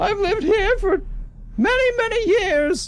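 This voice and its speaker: A man puts on a squeaky character voice at an extremely high pitch. He keeps a moderate pace. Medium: actual play. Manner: hesitant, stammering.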